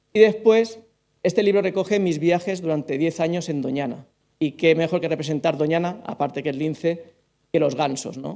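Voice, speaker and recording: This man's voice is high-pitched, with ordinary pitch variation. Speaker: author and forester. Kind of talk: book presentation talk. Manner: fast; swallows syllables.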